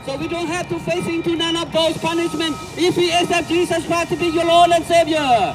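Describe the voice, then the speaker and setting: A man speaks with music playing in the background. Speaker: street preacher. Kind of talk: street preaching to passersby. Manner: earnest, forceful, repetitive.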